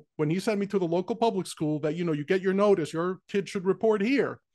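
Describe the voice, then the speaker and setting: Recorded dry and close with no echo against a quiet background, a man with an American accent speaks at a high pitch with ordinary pitch variation. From New York City, the Bronx. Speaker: podcast host. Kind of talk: casual interview.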